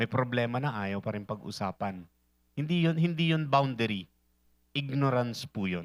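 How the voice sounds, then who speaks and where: A man's moderately paced speech carries lively intonation. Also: medium pitch for a man. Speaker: church relationship talk speaker. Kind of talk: talk to an audience. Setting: hall with live audience and online viewers. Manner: sleepy, lacking energy.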